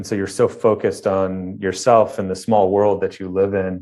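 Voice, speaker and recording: A man with a Midwestern American accent, fairly low in pitch, monotone and flat, at a moderate pace over a quiet background. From Ohio, near Cleveland. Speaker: architect. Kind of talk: interview. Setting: remote interview from studio.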